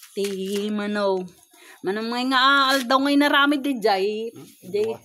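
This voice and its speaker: Here is an unremarkable speaking voice from a woman, fairly high in pitch. She talks at a fairly slow pace with ordinary pitch variation. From La Union, Philippines. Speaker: daughter filming her father. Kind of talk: casual talk to camera.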